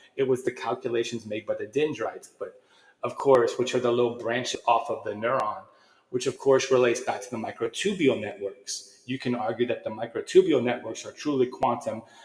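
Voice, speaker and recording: Noticeable noise runs in the background. Over it, a man speaks fairly quickly. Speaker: channel host discussing consciousness science. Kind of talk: casual solo monologue. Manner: fast; halting, frequent restarts.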